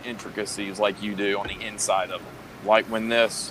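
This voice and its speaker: Noticeable background noise sits behind a man's voice. He speaks at a medium pitch and a fairly quick pace. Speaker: podcast co-host.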